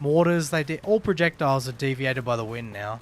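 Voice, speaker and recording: Speaking with lively intonation, a man has an Australian accent. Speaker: gaming streamer. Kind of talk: casual live stream chat. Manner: casual, animated.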